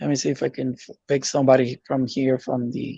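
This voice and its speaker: A man with a non-native accent, medium pitch, and a dark, mellow tone, at a moderate pace with monotone, flat intonation. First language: not English. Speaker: YouTube growth coach. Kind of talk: webinar Q&A.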